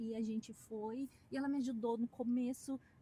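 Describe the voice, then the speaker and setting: A woman speaks in a high pitch with a strong Curitiba accent. Noticeable background noise sits behind her. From southern Brazil, Curitiba. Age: 40s. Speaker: dentist. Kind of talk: interview.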